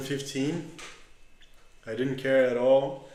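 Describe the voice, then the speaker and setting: A man at medium pitch and moderate pace, with a Portuguese accent and audible room echo. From Brazil, São Paulo state countryside. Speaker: agronomist and winemaker. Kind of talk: podcast interview. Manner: halting.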